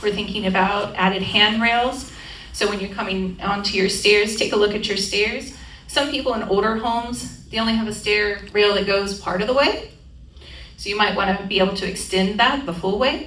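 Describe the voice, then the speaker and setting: There is noticeable background noise and audible room echo as a woman talks at medium pitch with fairly even intonation. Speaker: aging-in-place home safety specialist. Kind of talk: community presentation. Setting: room with live audience. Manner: fast; interactive, conversational.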